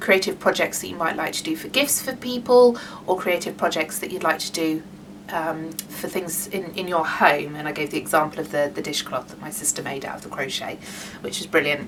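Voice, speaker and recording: Noticeable background noise sits behind a woman with a British accent. She talks at a moderate pace with lively intonation. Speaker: craft workshop leader. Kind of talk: online workshop tutorial. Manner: halting, many fillers.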